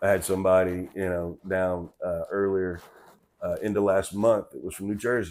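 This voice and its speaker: A man with a Southern accent, fairly low in pitch, at a moderate pace in a monotone, flat intonation. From US South, Memphis and Mississippi. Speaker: political commentator. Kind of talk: casual commentary monologue. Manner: halting, many fillers.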